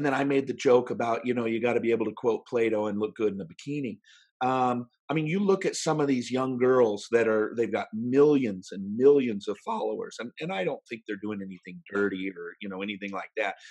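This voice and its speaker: Speaking with an American accent, a man has a plain, everyday voice at a medium pitch with ordinary pitch variation. He moves at a fairly quick pace with hardly any pauses. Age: 50s. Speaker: professional speaker. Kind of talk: interview.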